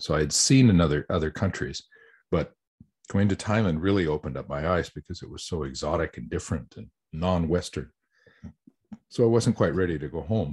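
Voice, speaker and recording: In an American accent, the speaker talks at a fairly quick pace with lively intonation, vocal fry, big swings in loudness, and long, frequent pauses. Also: man, very deep, low pitch for a man. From US Southwest (New Mexico). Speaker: voice actor. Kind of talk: interview. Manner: halting, with repetitions.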